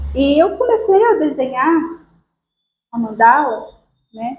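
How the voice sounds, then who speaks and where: The speaker is a woman. She is soft-spoken. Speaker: spiritual group speaker. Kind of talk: spiritual talk. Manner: halting.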